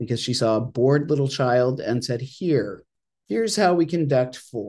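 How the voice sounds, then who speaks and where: A man speaks at a moderate pace with a medium pitch and lively intonation. His tone is dark, mellow and somewhat breathy. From Maine, Ogunquit. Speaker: chaplain. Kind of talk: interview conversation. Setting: studio.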